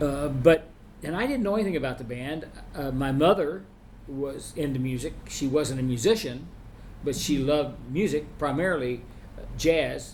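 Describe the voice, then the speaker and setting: Someone with an American accent speaks at a moderate pace with ordinary pitch variation, and the room echo is audible. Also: man, fairly high pitch for a man. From Oklahoma (Sapulpa, near Tulsa). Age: 70s. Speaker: retired band director and music professor. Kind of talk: interview. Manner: halting, many restarts and fillers.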